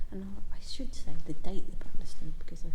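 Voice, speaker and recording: Noticeable background noise accompanies a woman whispering at a fairly quick pace. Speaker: amateur local history vlogger. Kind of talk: walking tour vlog. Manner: halting, many false starts; quiet inside the church.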